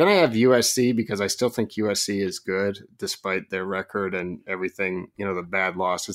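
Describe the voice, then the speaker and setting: Heard on a very clean recording with a silent background, a man with a normal speaking voice and an American accent talks at a fairly low pitch and a fairly quick pace. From Oregon. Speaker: recruiting analyst. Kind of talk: casual chat.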